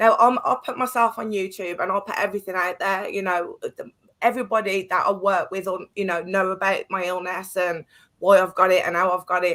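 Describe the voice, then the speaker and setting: A woman's bright, sharp voice at medium pitch, in an English accent. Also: fairly even intonation, fairly quick pace. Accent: English accent noted by host. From Birmingham, England. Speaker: artist and guest. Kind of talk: heated discussion.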